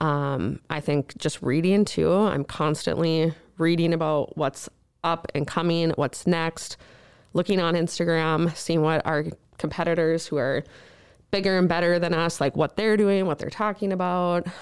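With an Upper Midwest accent, a woman talks at a moderate pace in a fairly low pitch and fairly even intonation, on a very clean recording with a silent background. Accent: Upper Midwest American. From northern Minnesota. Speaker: remodeling business owner and blogger. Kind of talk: interview.

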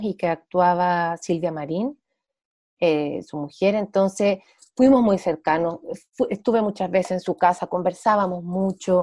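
A woman with a Santiago Chilean accent, medium in pitch, with ordinary pitch variation. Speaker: actress and playwright. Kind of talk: interview. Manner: casual, many fillers.

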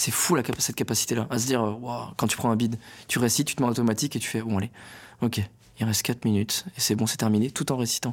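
A man with a medium pitch talks very fast with fairly even intonation, yet takes long, frequent pauses. The recording is very clean, with a silent background. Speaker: stand-up comedian. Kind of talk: casual interview. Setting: studio. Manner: articulation problems.

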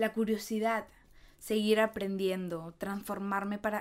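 Her intonation stays fairly even as a woman talks at a medium pitch. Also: very clean recording, silent background. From Peru. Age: 20s. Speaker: podcast host. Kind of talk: personal monologue.

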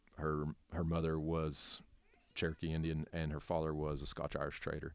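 A man with a very deep, low voice and an Appalachian accent, at a moderate pace, in a monotone, flat delivery. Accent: Appalachian US Southern. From North Carolina. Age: 30s. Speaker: educator. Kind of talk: casual interview. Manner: halting, many fillers.

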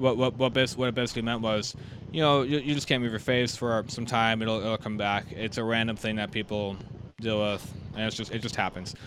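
A man talks at a medium pitch in a plain, everyday voice, his intonation fairly even. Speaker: trombone channel podcast host. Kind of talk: casual interview.

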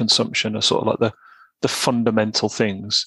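A man with a West Midlands accent, a bright, sharp tone and a dry, close sound with no echo. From West Midlands of England. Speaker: online men's self-help writer. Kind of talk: casual chat.

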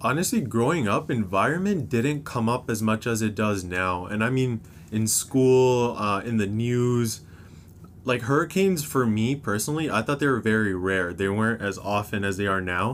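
A man with a Canadian accent talks at a moderate pace in an unremarkable speaking voice. His medium pitch rises and falls with lively intonation while his loudness stays very even. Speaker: university student. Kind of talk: casual chat.

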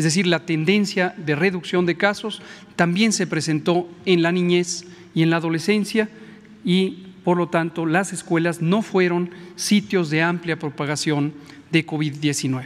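At a fairly slow pace, a man with a high-pitched voice talks in fairly even intonation and very even loudness. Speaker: health official. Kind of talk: press briefing. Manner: formal.

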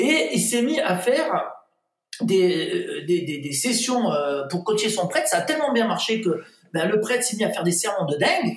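Pausing long and often, a man with a high pitch speaks at a moderate pace with very wide pitch swings. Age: 50s. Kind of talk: interview.

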